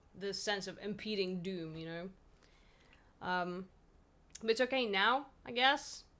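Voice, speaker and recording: A woman with a Polish accent and a bright, sharp tone. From Poland. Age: 20s. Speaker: streamer. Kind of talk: casual chat. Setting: live stream.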